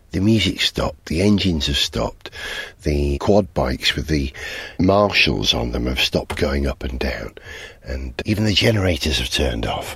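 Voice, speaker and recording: A man talks at a moderate pace with vocal fry and very wide pitch swings. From North Wales. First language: Welsh. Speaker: motoring podcast host. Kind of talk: solo road-trip vlog monologue. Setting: in a camper van on the road. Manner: animated.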